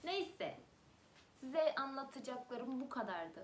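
A woman speaks with ordinary pitch variation at a moderate pace, with light background noise present. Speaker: vlogger. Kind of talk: casual vlog chat. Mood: cheerful, laughing. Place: home room. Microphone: webcam.

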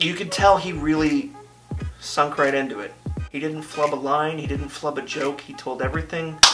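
Clear music plays behind a man who speaks at a fairly quick pace. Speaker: vlogger. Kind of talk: casual vlog chat. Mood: proud, upbeat. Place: home room.

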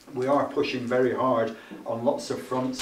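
Flat, monotone delivery with audible room echo and light background noise. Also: man. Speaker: event host. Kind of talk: opening speech. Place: meeting room. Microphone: camera far.

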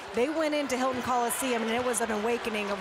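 Over loud background noise, a woman with a fairly high-pitched voice talks at a very fast pace in a dry sound with no echo. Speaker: sideline reporter. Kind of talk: live sports reporting; sports broadcast sideline report. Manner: brisk, informative. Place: stadium.

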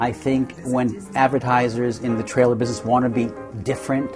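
Music plays behind a man speaking at a fairly quick pace. His intonation stays fairly even. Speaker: talent agent. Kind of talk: interview answer.

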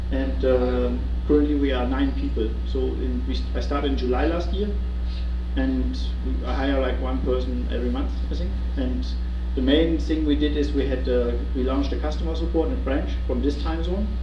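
A man with a very deep, low pitch talks in a monotone, flat intonation over noticeable background noise. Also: moderate pace. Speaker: presenter. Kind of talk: presentation talk. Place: meeting room. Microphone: camera far.

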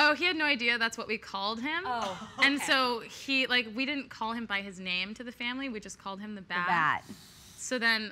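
Over light background noise, a woman speaks at a fairly quick pace with big swings in loudness. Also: ordinary pitch variation. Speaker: interview guest. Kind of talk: interview answer. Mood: playful, laughing storytelling. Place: studio.

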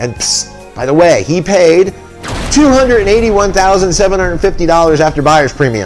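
A man speaks at a fairly quick pace in a high pitch with lively intonation. Faint music plays in the background. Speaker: appraiser and auctioneer. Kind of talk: casual talk to camera. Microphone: webcam.

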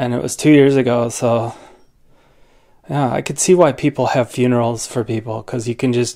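A man with fairly even intonation against a quiet background. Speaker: family vlogger. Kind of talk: casual vlog chat. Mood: reflective, somber. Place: home room.

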